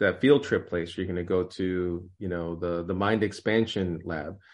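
In an unremarkable speaking voice with an American accent, a man talks at a moderate pace with ordinary pitch variation. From New York. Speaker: author and literature professor. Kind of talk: interview.

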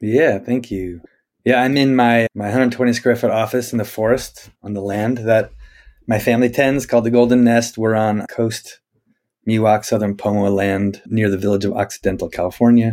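Speaking at a moderate pace, a man has a plain, everyday voice with fairly even intonation. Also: medium pitch for a man. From US Northwest (Spokane, Washington). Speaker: rabbi and nature-based educator. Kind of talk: interview conversation. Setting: office in the forest.

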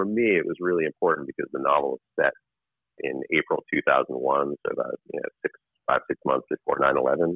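In a dry, close sound with no echo, a man talks with an American accent.

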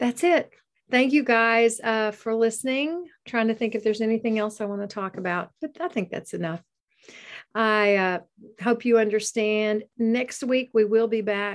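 With a plain, everyday voice, a woman speaks at a fairly high pitch and moderate pace with ordinary pitch variation over a quiet background. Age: 50s. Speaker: podcast host and background singer. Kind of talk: casual solo monologue. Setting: video recording over Zoom.

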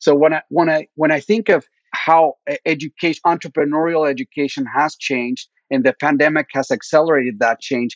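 A man with a Spanish accent, fairly high pitch, ordinary pitch variation and a fairly quick pace. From Mexico (Mexico City). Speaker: venture capitalist. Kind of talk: interview.

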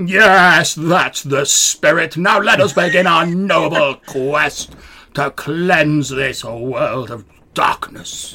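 A man's put-on character voice, high in pitch, at a very slow pace. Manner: earnest, grandiose heroic.

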